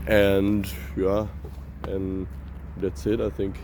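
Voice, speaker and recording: Noticeable background noise mixes with audible echo from the room. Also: man. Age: 20s. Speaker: vlogger, apprentice cook. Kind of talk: casual vlog. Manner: halting.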